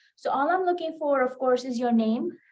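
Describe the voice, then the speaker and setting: A woman with an American accent talks at a moderate pace and with ordinary pitch variation. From India. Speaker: college math instructor. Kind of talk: lecture. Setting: classroom with students. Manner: casual with many fillers.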